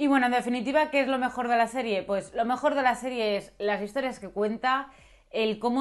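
A woman talks at a fairly quick pace with ordinary pitch variation. The background is quiet. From Spain. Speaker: YouTuber, series reviewer. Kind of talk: video review monologue. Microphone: lapel.

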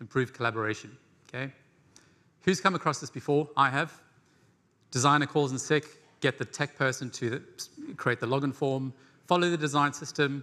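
This man's tone is bright and sharp, with ordinary pitch variation. He moves along at a fairly quick pace. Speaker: conference presenter. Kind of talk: lecture. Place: stage.

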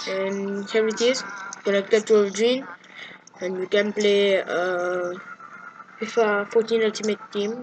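Faint music plays in the background as a woman speaks fairly slowly in a monotone, flat delivery, with long, frequent pauses. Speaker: tutorial maker. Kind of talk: tutorial screen walkthrough. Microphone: camera far.

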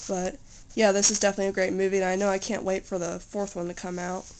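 In a monotone, flat delivery, a woman talks at a very fast pace with light background noise. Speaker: home video maker. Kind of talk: casual talk to camera. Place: home room. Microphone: phone near.

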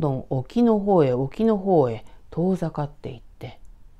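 Very slow, calm speech with a dark, mellow tone and very wide pitch swings, against a quiet background. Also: woman. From Tokyo, Hachioji; Tokyo. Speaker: horror storyteller. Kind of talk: storytelling. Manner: calm, conversational.

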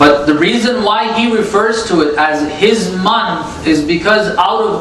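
With audible room echo and noticeable background noise, a man talks using ordinary pitch variation. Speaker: religious lecturer. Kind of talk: sermon.

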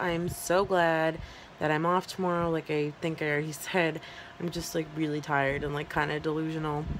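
Over noticeable background noise, a woman with a fairly low-pitched voice talks at a moderate pace. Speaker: vlogger. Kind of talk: casual vlog chat. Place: home room. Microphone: phone near.

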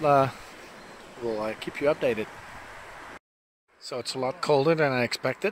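At a moderate pace, a man talks in a fairly bright tone with ordinary pitch variation.

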